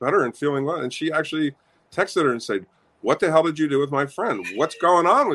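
With lively intonation, a man talks at a fairly high pitch in an ordinary speaking voice. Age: 60s. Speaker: coaching client and remodeling contractor. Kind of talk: testimony in interview. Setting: home music studio, remote interview.

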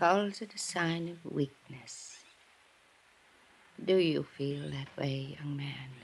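A woman's put-on character voice, low-pitched with vocal fry and a slightly husky edge, slow in pace with ordinary pitch variation

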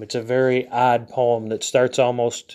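A man speaks at a fairly slow pace. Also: quiet background. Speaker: literature and philosophy podcaster, teacher. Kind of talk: lecture. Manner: halting, many fillers.

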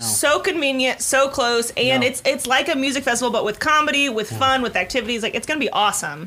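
A woman talks very fast in a raised, projected voice with a high pitch and ordinary pitch variation. She hardly pauses, and there is noticeable background noise. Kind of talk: casual comedy podcast banter. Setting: studio.

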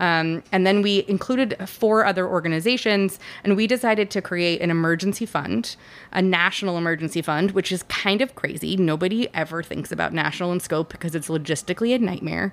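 At a fairly quick pace, a woman with an American accent talks in an ordinary speaking voice, with medium pitch and ordinary pitch variation. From Los Angeles. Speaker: arts nonprofit executive director. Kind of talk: casual interview. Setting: studio.

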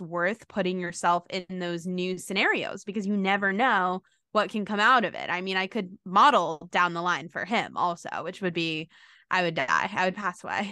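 A woman's medium-pitched voice, bright and sharp in tone, at a moderate pace against a quiet background. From New York City. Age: 20s. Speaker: content creator and chronic illness advocate. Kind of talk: podcast interview.

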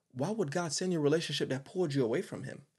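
The man's voice is somewhat breathy. His pitch moves in an ordinary way. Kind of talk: sermon-style monologue. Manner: fast talker; animated.

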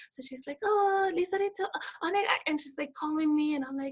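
A woman speaks in an animated tone. Her pace is moderate. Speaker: former teacher in Japan. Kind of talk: casual interview chat.

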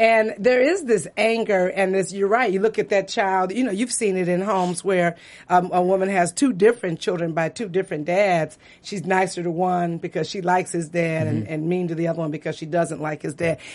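A woman with an American accent talks at a fairly quick pace with hardly any pauses. She has an ordinary speaking voice, a medium pitch, and ordinary pitch variation. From US Midwest, Detroit. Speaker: actress. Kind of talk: casual interview. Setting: studio.

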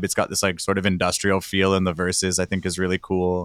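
A man talks at a very fast pace in a very deep, low pitch. The sound is dry and close with no echo, in a very clean recording with a silent background. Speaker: band member and podcast host. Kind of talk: casual chat. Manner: joking.

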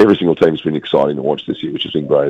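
A man speaks with an Australian accent. Noticeable background noise runs under his voice. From Western Australia, Perth. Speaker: sports correspondent. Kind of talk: casual chat.

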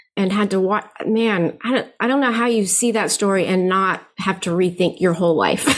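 A woman's ordinary speaking voice with an American accent, medium pitch, ordinary pitch variation and very even loudness. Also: moderate pace. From Philippines (American missionary family). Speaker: anti-racism course creator, adoptive mother. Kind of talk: interview. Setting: remote call.

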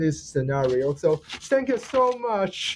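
With a Chinese accent, a man speaks at a fairly slow pace. His tone is dark and mellow, and his intonation is lively. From China. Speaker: podcast host. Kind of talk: interview questions. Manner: halting, self-correcting.

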